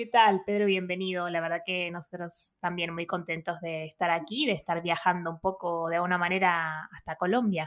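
A woman has an ordinary speaking voice, fairly low in pitch with fairly even intonation, at a moderate pace. The recording is very clean, with a silent background. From Argentina, outskirts of Buenos Aires. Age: 30s. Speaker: podcast co-host. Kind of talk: interview.

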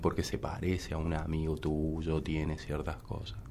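A man's very deep, low voice in audible room echo. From Córdoba, Argentina. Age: 30s. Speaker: musician and DJ. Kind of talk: interview conversation. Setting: studio.

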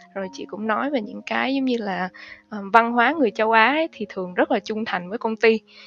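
Speaking at a fairly quick pace in a normal speaking voice, a woman has a fairly high pitch, ordinary pitch variation and big swings in loudness, with a dry, close sound and no echo. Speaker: financial analyst. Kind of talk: interview.

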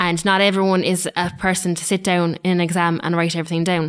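In an Irish accent, the voice stays monotone and flat on a very clean recording with a silent background. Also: woman. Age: 20s. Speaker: social care student. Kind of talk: podcast panel discussion.

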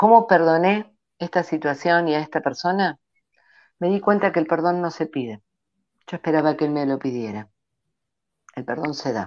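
Her pitch fairly low, a woman speaks at a moderate pace with lively intonation and long, frequent pauses. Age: 50s. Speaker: ontological coach. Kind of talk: interview.

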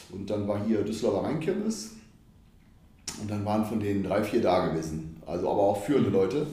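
A somewhat breathy man, fairly low in pitch, at a fairly quick pace with long, frequent pauses and audible room echo. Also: ordinary pitch variation. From Düsseldorf, Germany. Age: 40s. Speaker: football fan, former hooligan. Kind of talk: casual interview.

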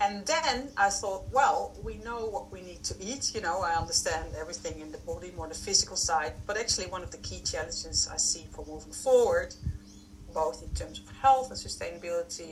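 Over noticeable background noise, a woman with a strong Dutch accent talks fairly quickly, her loudness swinging widely. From Netherlands. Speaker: food science consultant and researcher. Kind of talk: casual interview.

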